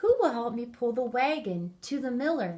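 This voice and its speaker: Using a put-on character voice, a woman speaks at a moderate pace and a high pitch. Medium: read story.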